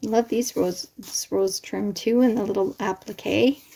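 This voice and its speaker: At a very slow pace, a woman speaks at medium pitch with ordinary pitch variation. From Canada. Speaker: crafter unboxing happy mail. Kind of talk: casual unboxing vlog. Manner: animated, exclamatory.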